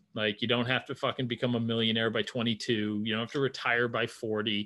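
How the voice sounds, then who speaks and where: A man speaks at a fairly low pitch in a normal speaking voice. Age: 30s. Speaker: NFL meme page creator and podcaster. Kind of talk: casual chat. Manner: rambling with repeated words.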